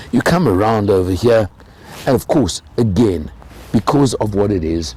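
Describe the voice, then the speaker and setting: A man's fairly low voice at a moderate pace, with lively intonation and noticeable background noise. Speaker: car reviewer. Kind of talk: car review walkaround.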